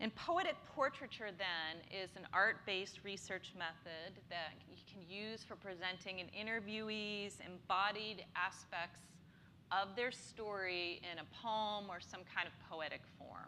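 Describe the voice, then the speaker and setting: With an American accent, a woman talks at a medium pitch in a bright, sharp tone, showing ordinary pitch variation and big swings in loudness, with audible room echo. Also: fairly slow pace. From US South, suburban Atlanta. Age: 50s. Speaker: professor. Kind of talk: lecture. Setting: lecture hall with audience.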